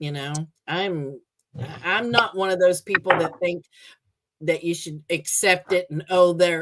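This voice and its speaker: A woman speaks at a fairly slow pace and a fairly low pitch. Her intonation is fairly even. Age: 60s. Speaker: live streamer. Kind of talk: casual chat. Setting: livestream.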